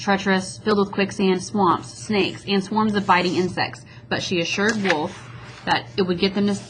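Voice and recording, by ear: The text is read aloud in a natural voice.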